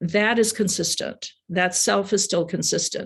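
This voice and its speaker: A woman's flat, monotone voice at a fairly slow pace over a quiet background. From US Midwest, Madison, Wisconsin. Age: 60s. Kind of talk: presentation talk. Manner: halting.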